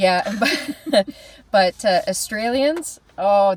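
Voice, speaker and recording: A normal speaking voice with a Canadian accent goes at a fairly slow pace with ordinary pitch variation, in a very clean recording with a silent background. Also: woman. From Canada. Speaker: podcast co-host, travels for work. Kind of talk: casual chat. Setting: recorded on camera, on a trip in Australia.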